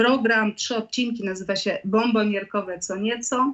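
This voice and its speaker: A woman speaks in an ordinary speaking voice, fairly high in pitch, with ordinary pitch variation at a fairly slow pace. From Poland, Lublin. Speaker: singer-songwriter. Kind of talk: radio interview.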